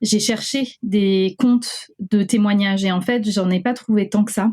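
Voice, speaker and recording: Somewhat breathy and dark, mellow in tone, a woman's medium-pitched voice moves at a fairly slow pace with fairly even intonation and very even loudness. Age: 30s. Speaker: lawyer sharing eating disorder testimony. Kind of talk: testimony. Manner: hesitant with many fillers.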